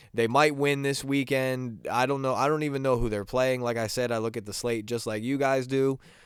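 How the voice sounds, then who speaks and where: Speaking at a fairly quick pace with hardly any pauses, a man keeps his medium-pitched voice fairly even in intonation. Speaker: sports podcast host. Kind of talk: casual solo sports talk. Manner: halting, many fillers and repeats.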